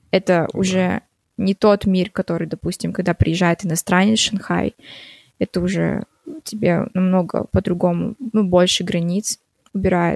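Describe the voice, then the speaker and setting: A woman speaks at medium pitch and a moderate pace, with monotone, flat intonation. Long, frequent pauses break up the dry, close sound, which has no echo. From Kazakhstan, raised from 12 in Shanghai, China. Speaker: singer-songwriter. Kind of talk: interview, casual chat. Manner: hesitant, many filler words.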